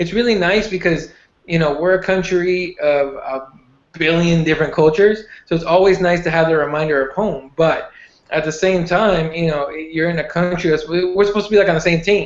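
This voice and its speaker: With a Spanish accent, a man speaks at a fairly quick pace in a high voice with fairly even intonation. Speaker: MMA podcast co-host. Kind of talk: casual chat.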